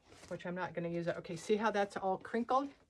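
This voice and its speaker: Noticeable background noise behind a woman's fairly low voice, fairly quick in pace and ordinary in pitch variation. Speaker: wreath and holiday decor designer. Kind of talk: craft tutorial. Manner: fast; casual, chatty.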